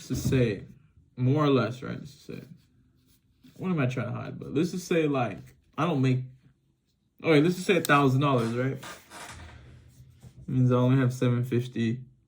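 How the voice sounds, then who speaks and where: A man's medium-pitched, somewhat breathy voice with long, frequent pauses and audible room echo. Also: ordinary pitch variation, moderate pace. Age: 20s. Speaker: vlogger, car wash worker. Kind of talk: casual unscripted monologue. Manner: halting, lots of filler and restarts.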